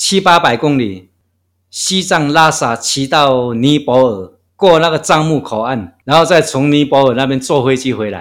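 In a very clean recording with a silent background, a man speaks fairly slowly at a fairly high pitch with lively intonation. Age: 60s. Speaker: long-distance walker. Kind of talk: interview. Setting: guesthouse room.

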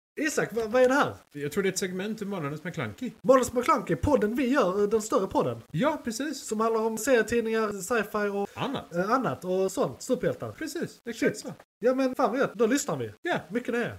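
A fairly quick pace with hardly any pauses. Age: 30s. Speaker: podcast host. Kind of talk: casual chat. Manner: halting.

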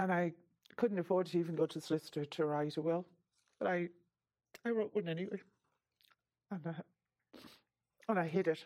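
A woman with an Irish accent, a dark, mellow tone, ordinary pitch variation, a fairly quick pace and long, frequent pauses. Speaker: survivor of financial abuse. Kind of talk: testimony.

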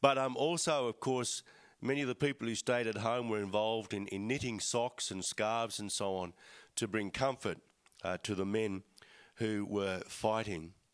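A man in an Australian accent, medium in pitch with ordinary pitch variation, at a moderate pace against a quiet background. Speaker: church speaker. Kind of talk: talk to congregation. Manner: hesitant, many fillers.

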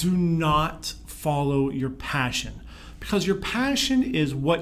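Someone speaks with an American accent amid audible room echo. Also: man. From Pittsburgh, Pennsylvania, US. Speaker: leadership consultant and speaker. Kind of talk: interview.

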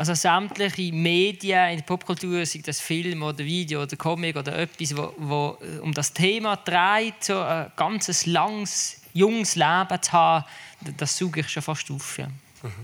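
A man's high-pitched voice holds a fairly even intonation as he talks at a fairly slow pace. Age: 30s. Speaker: cryonics association board member. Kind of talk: panel discussion.

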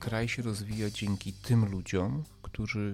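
A man's fairly low voice at a very slow pace, with fairly even intonation. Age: 40s. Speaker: podcast host, commentator. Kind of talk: monologue commentary. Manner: emphatic, hesitant with fillers.

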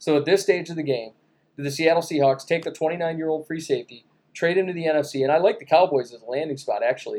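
Talking at a very fast pace, a man has a fairly high pitch with ordinary pitch variation and big swings in loudness. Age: 30s. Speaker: podcast host. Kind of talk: casual banter, sports talk. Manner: joking, animated.

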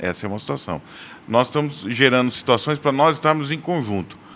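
A man speaks in a normal speaking voice. His pace is fairly quick, with lively intonation. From Brazil, Paraná (Londrina). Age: 40s. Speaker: church men's ministry leader. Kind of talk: casual chat.

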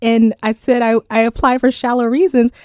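A woman speaks at a moderate pace with a fairly high pitch and an unremarkable speaking voice. The recording is very clean, with a silent background. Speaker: beauty pageant titleholder. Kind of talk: radio interview.

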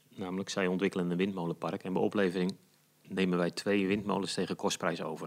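A man rattles along at a very fast pace in a very deep, low voice with monotone, flat intonation, on a very clean recording with a silent background. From Netherlands, Noordoostpolder. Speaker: community energy initiator. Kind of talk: interview.

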